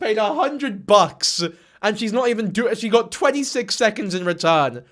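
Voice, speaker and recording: A man's animated voice with a British accent. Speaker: YouTube commentator. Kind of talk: commentary reaction video.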